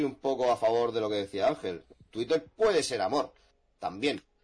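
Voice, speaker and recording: A man at medium pitch with an ordinary speaking voice. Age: 20s. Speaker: jurist. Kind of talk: casual chat. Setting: live stream.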